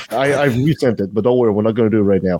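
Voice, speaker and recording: A man speaks with a French Canadian accent. The sound is dry and close, with no echo. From Canada, French Canadian. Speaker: podcast host. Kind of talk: casual chat.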